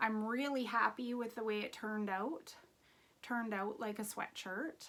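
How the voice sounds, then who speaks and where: A woman speaks in an unremarkable speaking voice at a moderate pace, her pitch fairly high with ordinary variation. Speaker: knitting podcaster. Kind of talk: casual chat. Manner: casual with many fillers.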